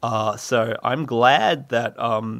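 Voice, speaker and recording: A man of medium pitch speaks with an Australian accent and a bright, sharp tone, the sound dry and close with no echo. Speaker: podcast host. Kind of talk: casual solo monologue. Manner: rambling with many fillers; playful, puts on funny voices.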